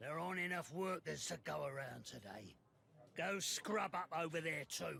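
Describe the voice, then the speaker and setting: Using a put-on character voice, a man rasps out his words at a fairly slow pace and a fairly high pitch. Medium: video game.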